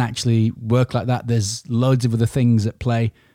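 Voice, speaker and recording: A man with an English accent and a dark, mellow tone at a fairly quick pace, dry and close with no echo, in a very clean recording with a silent background. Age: 40s. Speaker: business owner podcaster. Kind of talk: solo podcast monologue. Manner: informal.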